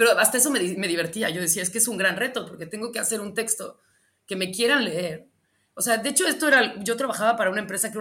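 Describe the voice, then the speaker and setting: A woman's bright, sharp voice, very fast, with lively intonation. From Mexico, Michoacán (Morelia). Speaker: writer and boxing chronicler. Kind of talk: interview.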